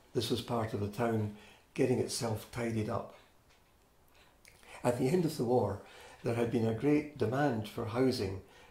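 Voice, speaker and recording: In a Scottish accent, a man with a dark, mellow tone and somewhat breathy voice speaks at medium pitch and a moderate pace, using ordinary pitch variation and long, frequent pauses amid audible room echo. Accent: Scottish (Fife). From Scotland, Fife (Inverkeithing). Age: 70s. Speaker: oral history interviewee. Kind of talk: oral history interview. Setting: interviewee's home.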